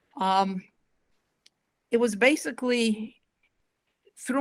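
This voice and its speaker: In a very clean recording with a silent background, a woman with a slight Massachusetts accent speaks with ordinary pitch variation. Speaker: school board member and candidate. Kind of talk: candidate forum statement.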